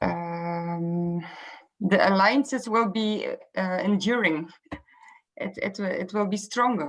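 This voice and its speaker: A very slow, somewhat breathy female voice at medium pitch, with ordinary pitch variation and long, frequent pauses. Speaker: meeting participant, peer support advocate. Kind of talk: video call group meeting discussion. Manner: halting, searching for words.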